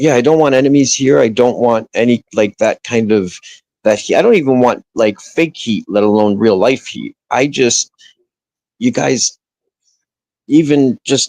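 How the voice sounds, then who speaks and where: Long, frequent pauses break up the speech of a man with a medium pitch and a New Jersey accent. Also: ordinary pitch variation, fairly slow pace, dry, close sound with no echo. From northern New Jersey. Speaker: livestreamer. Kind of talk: casual chat. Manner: halting, many restarts.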